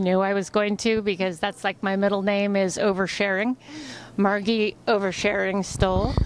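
A woman's voice with light background noise and a dry sound with no echo. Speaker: interviewee. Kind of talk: interview answer. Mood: playful, chatty. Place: hall. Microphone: handheld.

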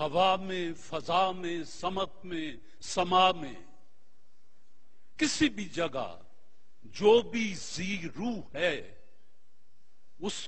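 His pitch is high. The way it varies is ordinary for a man speaking. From Pakistan. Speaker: actor and TV host. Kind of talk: inspirational speech. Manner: eloquent, oratorical. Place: studio.

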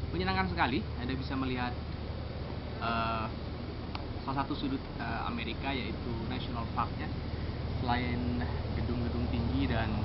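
Loud background noise behind a man at a moderate pace, with long, frequent pauses. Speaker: travel vlogger. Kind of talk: casual travel vlog narration. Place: open country.

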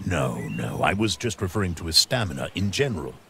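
A man does a put-on character voice with a low pitch, big pitch swings, vocal fry and a bright, sharp tone, talking at a fairly quick pace.

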